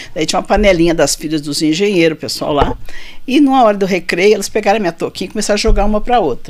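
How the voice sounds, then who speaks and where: Noticeable background noise runs behind a woman speaking at a very fast pace. Her medium-pitched voice has lively intonation. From Rio Grande do Sul, southern Brazil. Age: 60s. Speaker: physician. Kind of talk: interview.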